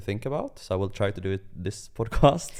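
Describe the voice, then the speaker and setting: With a Swedish accent, a man speaks at a fairly low pitch. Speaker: podcast co-host. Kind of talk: casual chat.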